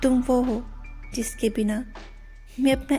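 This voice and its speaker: A woman speaks at a fairly high pitch. Music plays in the background. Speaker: channel owner narrating her own voiceover. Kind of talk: romantic poetry reading, love letter to husband. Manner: soft, heartfelt.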